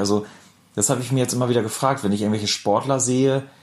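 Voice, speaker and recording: A man speaks in a northern German accent. His pitch is medium, with ordinary pitch variation. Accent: north German. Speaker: podcast co-host. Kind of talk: casual chat.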